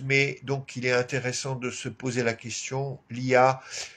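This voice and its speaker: A man speaks with an Alsatian accent. His pace is very slow. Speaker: activist clown and live show host. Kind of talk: weekly live stream address. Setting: home live stream with flag behind. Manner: halting, many fillers.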